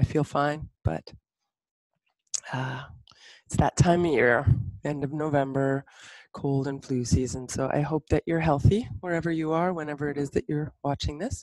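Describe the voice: A low-pitched woman speaks at a moderate pace with fairly even intonation and a slightly mellow tone, recorded dry and close with no echo.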